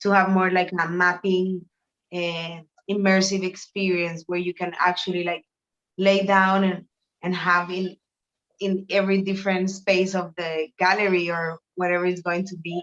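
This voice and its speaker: The speaker talks at a moderate pace with a Spanish accent and a flat, monotone intonation. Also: woman, medium pitch for a woman. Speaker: artist. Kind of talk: interview. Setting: video call from a shower room. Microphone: echo off bathroom tiles.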